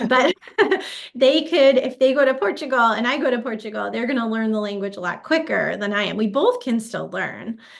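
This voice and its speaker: Against noticeable background noise, a woman talks at a fairly quick pace in a high voice with ordinary pitch variation. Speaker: physical therapy researcher. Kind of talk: webinar interview. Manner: hesitant with fillers.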